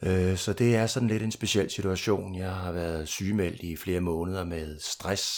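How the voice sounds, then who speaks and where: In a very clean recording with a silent background, a man speaks fairly slowly in a very deep, low voice. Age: 50s. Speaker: recovering alcoholic sharing at a meeting. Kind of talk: testimony. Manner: hesitant, repeats words.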